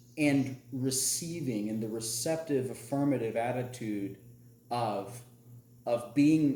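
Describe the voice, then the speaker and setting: A man with an American accent at a medium pitch and fairly slow pace, with ordinary pitch variation, audible room echo and noticeable background noise. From US South. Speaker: podcast host. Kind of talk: casual chat.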